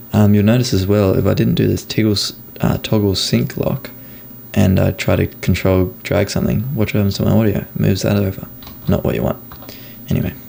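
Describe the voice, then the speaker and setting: A soft-spoken man talks fairly quickly at a fairly low pitch with lively intonation, over noticeable background noise. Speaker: video editor. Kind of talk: tutorial. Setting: screen recording.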